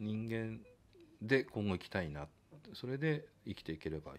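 At a moderate pace, a man speaks at a fairly low pitch with very wide pitch swings. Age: 50s. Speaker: trumpet player and studio owner; guest. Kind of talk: casual interview chat. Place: studio. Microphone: studio mic.

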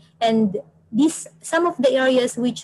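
With a quiet background, a woman speaks at a moderate pace in a high pitch, with a dark, mellow tone and ordinary pitch variation. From Philippines. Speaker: environmental planner and PhD student; presenter. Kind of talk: webinar presentation. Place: office.

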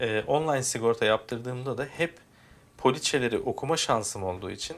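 An unremarkable speaking voice belongs to a man talking at a moderate pace with ordinary pitch variation. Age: 30s. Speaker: YouTuber explaining car insurance. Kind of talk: screen-recorded tutorial. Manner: casual, conversational.

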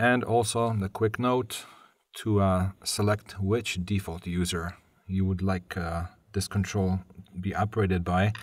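A man talks at a fairly slow pace in a low pitch. His intonation stays fairly even.

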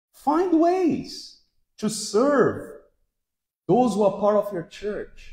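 An extremely high-pitched man speaks at a very slow pace with very wide pitch swings and long, frequent pauses, in audible room echo over a quiet background. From Brazil. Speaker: pastor. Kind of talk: sermon. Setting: church. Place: hall.

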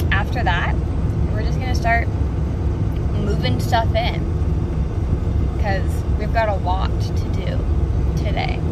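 A woman at a very slow pace, dry with no echo, against loud background noise. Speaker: vlogger. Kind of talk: casual vlog chat. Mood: excited, chatty. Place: car. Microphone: phone near.

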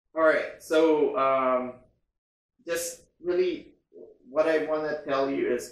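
A fairly high-pitched man at a very slow pace, with long, frequent pauses and audible room echo. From Philippines. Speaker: travel vlogger. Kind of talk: vlog-style informational monologue. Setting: quarantine hotel room, self-filmed. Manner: casual, hesitant with frequent fillers. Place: home room.

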